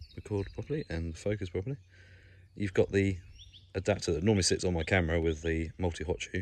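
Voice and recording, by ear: A man's low voice with a slightly mellow tone, ordinary pitch variation and a moderate pace.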